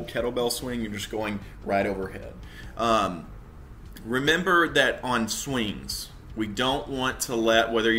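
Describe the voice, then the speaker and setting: A man at a fairly slow pace, ordinary pitch variation, and light background noise. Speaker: fitness coach. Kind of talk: tutorial. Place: home room. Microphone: webcam.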